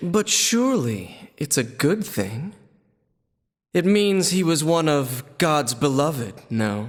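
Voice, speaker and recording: Putting on a character voice, a man speaks at a fairly slow pace in a fairly high pitch, his pitch swinging very widely while his loudness stays very even. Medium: video game. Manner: sly, mocking.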